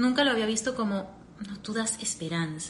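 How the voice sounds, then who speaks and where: Audible room echo surrounds a woman of medium pitch who speaks at a moderate pace with lively intonation. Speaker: podcaster and personal growth coach. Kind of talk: live stream talk. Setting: live stream.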